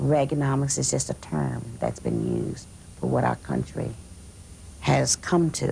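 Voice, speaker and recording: Noticeable background noise accompanies a fairly slow delivery. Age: 60s. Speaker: convention delegate, voter. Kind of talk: interview testimony. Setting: political convention.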